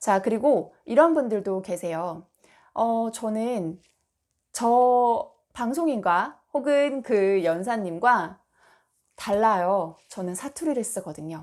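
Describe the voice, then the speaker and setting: Over a silent background in a very clean recording, a woman speaks very slowly at a fairly high pitch, with very wide pitch swings and big swings in loudness. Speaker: speech coach. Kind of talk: tutorial. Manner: measured, trustworthy delivery.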